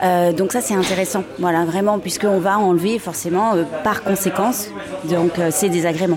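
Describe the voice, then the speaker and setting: A woman's voice holds very even loudness amid audible room echo, with crowd noise in the background. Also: medium pitch for a woman, moderate pace. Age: 40s. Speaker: fitness method creator, former professional dancer. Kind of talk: guided exercise; interview. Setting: café. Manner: halting.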